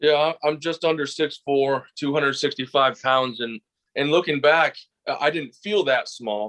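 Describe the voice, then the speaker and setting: A plain, everyday voice from a man with an American accent, fairly high pitch, ordinary pitch variation and a moderate pace, against a quiet background. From US Midwest, Detroit area. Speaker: pro wrestler. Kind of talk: interview.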